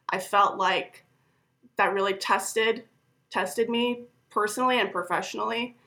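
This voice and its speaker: A woman with an American accent speaks at medium pitch in a bright, sharp tone with fairly even intonation. She keeps a moderate pace but leaves long, frequent pauses. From Minnesota, US Upper Midwest. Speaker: product marketing manager. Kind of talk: casual workplace interview chat.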